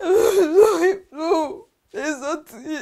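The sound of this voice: A woman puts on a character voice at an extremely high pitch. She talks very slowly with lively intonation. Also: slightly mellow tone.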